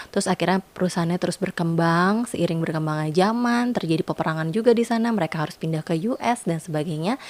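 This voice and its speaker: Very fast and with an Indonesian accent, a woman speaks at a fairly low pitch with ordinary pitch variation in a dry, close sound with no echo. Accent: Indonesian accent when reading French names. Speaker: perfume reviewer, YouTuber. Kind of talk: product review vlog. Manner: casual, many fillers and hesitations.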